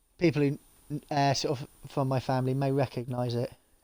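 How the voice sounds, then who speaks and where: A man mumbles at a moderate pace and medium pitch in a monotone, flat intonation, with a dry, close sound and no echo. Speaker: gaming streamer. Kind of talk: live gameplay stream. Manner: mumbling; casual, chatty.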